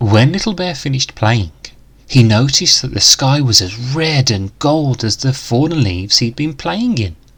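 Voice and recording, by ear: The pace is fairly slow, with lively intonation. The tone is fairly bright, with a slightly husky edge.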